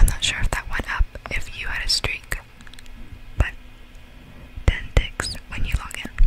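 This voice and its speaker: Whispering at a moderate pace, with long, frequent pauses and noticeable background noise. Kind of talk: ASMR whisper reading of Roblox facts. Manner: whispered, soft-spoken.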